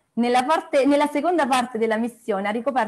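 Against a quiet background, a woman speaks at a high pitch with lively intonation. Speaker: meeting host. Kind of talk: introduction of a guest. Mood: cheerful, laughing. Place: home room. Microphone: earbuds.

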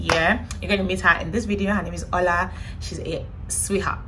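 A woman speaks at a fairly quick pace. There is noticeable background noise. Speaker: vlogger. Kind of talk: casual vlog chat. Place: home room. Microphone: phone near.

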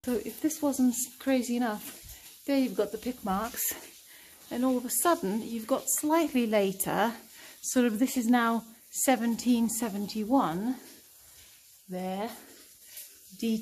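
With light background noise behind her, a woman talks at a fairly slow pace with ordinary pitch variation and long, frequent pauses. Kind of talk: exploration commentary. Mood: fascinated, excited. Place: tunnel cave. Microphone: phone near.

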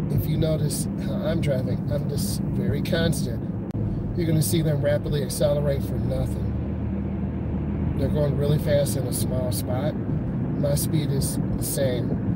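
A man speaking at a fairly slow pace, dry with no echo, over loud background noise. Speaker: driving instructor. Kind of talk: commentary. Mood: calm, relaxed. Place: car. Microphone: phone near.

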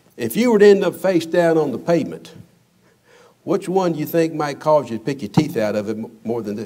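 Talking at a fairly quick pace with vocal fry, a man speaks against a quiet background. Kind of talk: children's sermon demonstration. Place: church.

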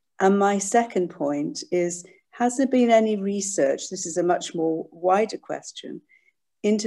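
Against a quiet background, a woman speaks very slowly in a dark, mellow tone with lively intonation. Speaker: audience member. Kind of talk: Q&A question. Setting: video call. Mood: appreciative, thoughtful. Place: home room. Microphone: video call.

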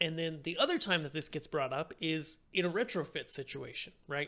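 A man speaks at a fairly quick pace with fairly high pitch. His tone is fairly bright, with vocal fry.

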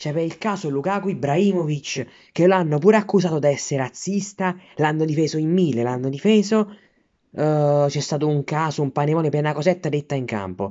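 A man speaks in a furious tone at a fairly quick pace against a quiet background. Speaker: Milan fan vlogger. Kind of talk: angry rant, foul-mouthed sports fan tirade. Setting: self-filmed video at home while studying. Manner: furious, sputtering, swearing in almost every sentence; indignant, repetitive, outraged, shouting at rivals. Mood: angry, indignant. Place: home room. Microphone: phone near.

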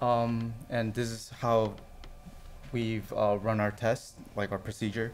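There is light background noise as a man talks very slowly, with long, frequent pauses. His intonation is monotone and flat. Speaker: network test engineer; conference presenter. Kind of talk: conference talk. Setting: stage with audience. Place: hall.

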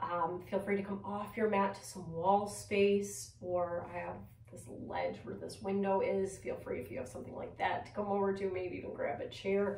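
A woman's voice with big swings in loudness and audible room echo. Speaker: yoga teacher. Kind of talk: guided yoga class instruction, cueing poses and breath. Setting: video recorded at home. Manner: calm, gentle, soothing; slow, measured, with pauses between cues. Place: home room.

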